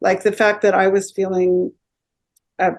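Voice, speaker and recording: A woman with a mid-range pitch talks at a middling tempo, her intonation fairly level. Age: 60s. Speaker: energy healer. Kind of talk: interview. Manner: halting, many filler words.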